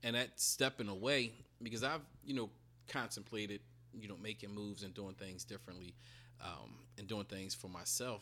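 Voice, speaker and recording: A man talks at a moderate pace with lively intonation and vocal fry. His loudness swings widely, and he leaves long, frequent pauses. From US, urban inner city. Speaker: educator and real estate investor. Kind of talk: casual interview chat.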